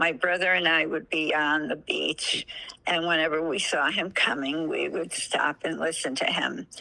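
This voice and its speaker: With an American accent, a woman talks at a moderate pace in a very deep, low pitch, with vocal fry and fairly even intonation. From US Northeast (New Haven, Connecticut). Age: 80s+. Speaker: interviewee, grandmother. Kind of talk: casual interview. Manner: halting.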